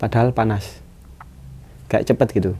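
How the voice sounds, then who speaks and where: Talking at a fairly quick pace, a man uses a dark, mellow tone with vocal fry. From East Java, Sidoarjo. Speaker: mountain guide and porter. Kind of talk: storytelling in casual interview.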